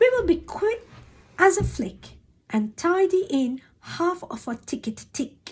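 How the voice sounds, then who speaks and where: A woman's put-on character voice, extremely high and swinging very widely in pitch, at a fairly slow pace. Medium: read story. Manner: bouncy, rhyming, giggly.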